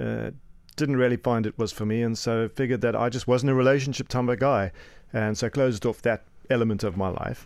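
On a very clean recording with a silent background, a man with a South African accent speaks at a fairly quick pace with fairly even intonation. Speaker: co-host, life and business coach. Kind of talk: casual chat.

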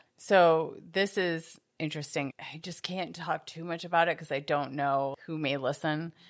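A normal speaking voice at a moderate pace, with fairly even intonation, hardly any pauses, and big swings in loudness, in a very clean recording with a silent background. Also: woman, fairly low pitch for a woman. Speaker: podcast host. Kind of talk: casual chat.

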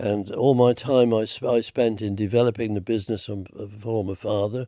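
A hoarse man's voice of dark, mellow tone.

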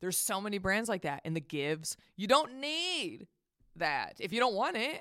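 A woman with an American accent, medium pitch, very wide pitch swings, a bright, sharp, animated tone and a moderate pace. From Texas. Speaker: comedian and podcaster. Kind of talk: casual chat.

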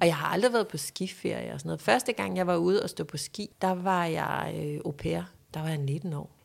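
A woman with a very deep, low pitch and vocal fry speaks with lively intonation in a very clean recording with a silent background. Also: moderate pace. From Denmark, Funen (Næsby near Odense). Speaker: lifestyle expert and podcaster. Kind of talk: casual chat.

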